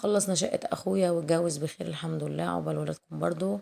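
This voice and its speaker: A woman with an Egyptian accent speaks in a dark, mellow tone at a fairly low pitch. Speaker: cooking youtuber. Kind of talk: casual chat. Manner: warm, chatty.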